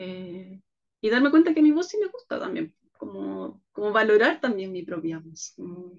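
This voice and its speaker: The woman's loudness rises and falls by big amounts. She keeps to a fairly slow pace. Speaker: leadership workshop speaker. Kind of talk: video conference conversation. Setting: video call.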